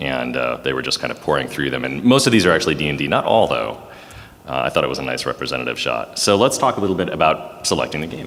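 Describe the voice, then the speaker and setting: A man talks loudly at a very fast pace, his voice very deep and low. His pitch swings very widely over noticeable background noise. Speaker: panelist, teacher. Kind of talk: convention panel presentation. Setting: stage with audience.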